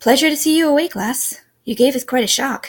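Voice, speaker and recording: A woman's put-on character voice, gruff and high-pitched, at a fairly quick pace. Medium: read story.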